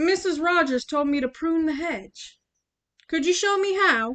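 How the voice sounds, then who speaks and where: A woman's put-on character voice, extremely high in pitch, at a moderate pace with lively intonation. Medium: read story.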